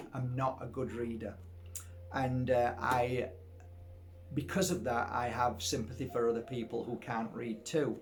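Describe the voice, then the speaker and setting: A somewhat breathy man with a Yorkshire accent talks at a moderate pace and medium pitch, with audible room echo. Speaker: spiritual healer and psychic teacher. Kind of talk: casual storytelling to camera. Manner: halting, many fillers and repeats.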